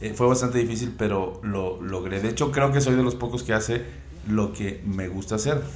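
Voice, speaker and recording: Audible room echo and noticeable background noise around a man, ordinary pitch variation in his voice. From Veracruz, Mexico (coastal). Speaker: independent music composer and producer. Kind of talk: casual chat.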